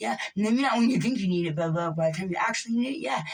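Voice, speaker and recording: A woman at a medium pitch talks at a very fast pace with ordinary pitch variation, and room echo is audible. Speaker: vlogger. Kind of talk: rant. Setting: alone in a room. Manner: emphatic; repetitive.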